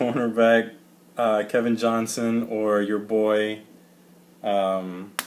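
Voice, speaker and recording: With long, frequent pauses, a man speaks at a very slow pace in a fairly low pitch and monotone, flat intonation. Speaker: sports fan podcaster. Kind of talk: casual chat.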